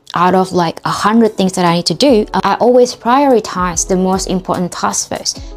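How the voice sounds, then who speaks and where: This woman has an Indonesian accent and speaks at medium pitch with ordinary pitch variation. Background noise is noticeable. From Indonesia, Jakarta. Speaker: study tips vlogger. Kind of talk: casual tutorial.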